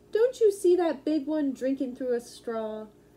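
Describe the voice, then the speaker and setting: Using a put-on character voice, a woman speaks high in pitch. Her pitch swings very widely at a moderate pace. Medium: read story. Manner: gentle, wise.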